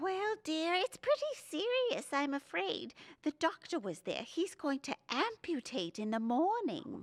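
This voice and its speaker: Putting on a character voice, a woman speaks at a high pitch with very wide pitch swings in a dry, close sound with no echo. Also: moderate pace. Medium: audio drama.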